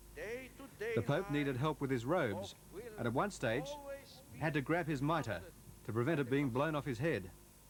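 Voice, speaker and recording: A man with vocal fry and a fairly high pitch speaks at a moderate pace with lively intonation and long, frequent pauses. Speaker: news reporter. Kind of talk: television news report narration.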